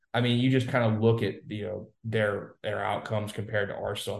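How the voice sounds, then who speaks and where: This man's fairly low voice is somewhat breathy and delivered in a flat monotone. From Louisiana. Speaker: football correspondent, former recruiting staffer. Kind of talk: casual sports chat.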